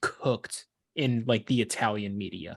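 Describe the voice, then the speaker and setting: Medium pitch from a male speaker, with ordinary variation in pitch. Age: 20s. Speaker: sports podcast co-host. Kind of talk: casual chat. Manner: slow.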